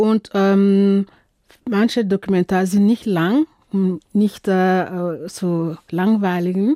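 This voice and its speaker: A woman speaks very slowly in a dark, mellow tone at medium pitch, with fairly even intonation and very even loudness. The recording is very clean and dry, close with no echo and a silent background. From Burkina Faso. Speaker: film festival organizer and curator. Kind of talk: radio interview. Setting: radio studio. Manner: halting, many filler sounds.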